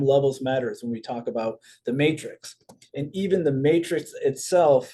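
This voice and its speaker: This man has a fairly high pitch and a dark, mellow tone with ordinary pitch variation. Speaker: network marketing presenter. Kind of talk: recorded business presentation. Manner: fast.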